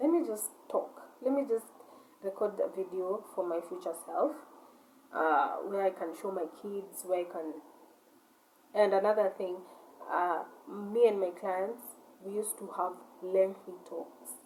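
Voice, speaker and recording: A woman's medium-pitched voice at a fairly slow pace, with ordinary pitch variation, long, frequent pauses and noticeable background noise. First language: not English. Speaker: vlogger, shop owner. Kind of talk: casual monologue rant. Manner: halting, repetitive.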